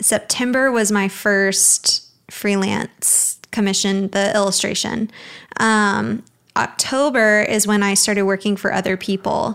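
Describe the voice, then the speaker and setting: A woman with an American accent uses a normal speaking voice, medium in pitch, at a fairly slow pace. Her intonation is fairly even and her loudness very even, on a very clean recording with a silent background. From Alabama, US South (Birmingham). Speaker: graphic designer. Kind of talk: interview. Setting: studio.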